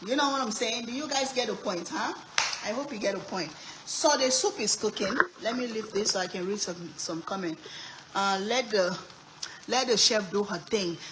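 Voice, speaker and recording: Over noticeable background noise, a woman with a fairly high pitch talks at a moderate pace in an animated tone, with ordinary pitch variation and long, frequent pauses. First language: Sierra Leonean language. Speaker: cooking streamer. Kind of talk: live cooking stream chat.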